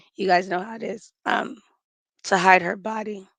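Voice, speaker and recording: Using vocal fry, a woman at medium pitch speaks at a fairly slow pace with fairly even intonation. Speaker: true crime commentator. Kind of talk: live stream commentary. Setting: live stream. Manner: casual, conversational.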